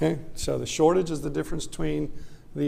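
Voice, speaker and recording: Fairly quick speech from a man, set in audible room echo. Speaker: economics professor. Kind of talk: lecture. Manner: fast.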